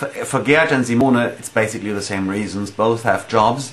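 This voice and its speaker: Over noticeable background noise and audible room echo, a man with a German accent speaks at a medium pitch and moderate pace with ordinary pitch variation. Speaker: metal band musician. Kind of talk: casual interview answering fan questions. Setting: at home in dining room. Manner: halting, many fillers.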